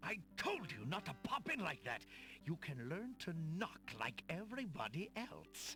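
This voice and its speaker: Over clear music in the background, a put-on character voice speaks at a middle pitch and a moderate pace. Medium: video game. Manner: theatrical.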